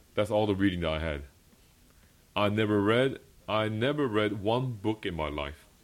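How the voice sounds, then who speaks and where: In a Korean accent, the speaker talks at a moderate pace with lively intonation and long, frequent pauses. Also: man, fairly low pitch for a man. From South Korea. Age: 30s. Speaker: pastor. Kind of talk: sermon. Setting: church.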